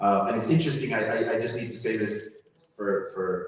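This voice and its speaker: Lively intonation marks this man's moderate-paced speech, heard with audible room echo. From Jamaica. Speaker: religious community leader. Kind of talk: panel discussion.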